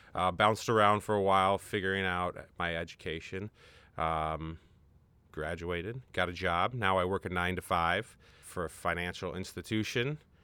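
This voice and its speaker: A man with an American accent talks in a very deep, low pitch, at a moderate pace and with ordinary pitch variation. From Minnesota. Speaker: podcast guest sharing near-death story. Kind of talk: casual interview conversation. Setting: room with his baby son.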